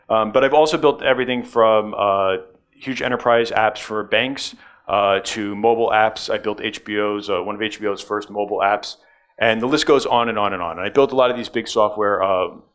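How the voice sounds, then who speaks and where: Talking at a fairly quick pace, a man speaks with a New York accent. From New York, US. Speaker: tech conference speaker. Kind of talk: conference talk. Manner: many filler words.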